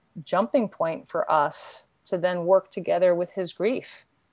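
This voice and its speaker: An unremarkable speaking voice from a woman with an American accent, medium pitch, and a dry, close sound with no echo. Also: very clean recording, silent background. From New York City, Queens. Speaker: therapist and grief educator. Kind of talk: interview.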